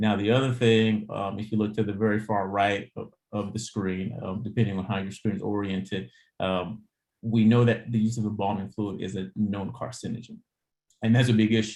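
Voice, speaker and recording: A man speaks at a fairly low pitch, his intonation monotone and flat. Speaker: public health professor. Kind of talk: slide presentation. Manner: fast.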